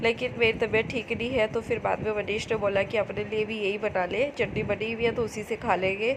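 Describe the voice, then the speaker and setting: A woman with a fairly high pitch talks at a moderate pace with fairly even intonation against noticeable background noise. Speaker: home vlogger. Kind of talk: casual vlog talk. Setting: home kitchen.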